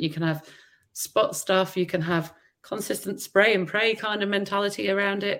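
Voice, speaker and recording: An ordinary speaking voice at a moderate pace. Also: woman. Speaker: marketing executive. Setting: video call.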